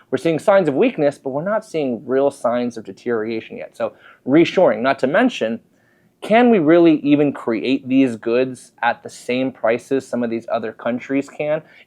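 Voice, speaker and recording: In an unremarkable speaking voice, a man with a fairly high pitch speaks at a moderate pace with lively intonation. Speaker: mortgage broker. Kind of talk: market commentary video.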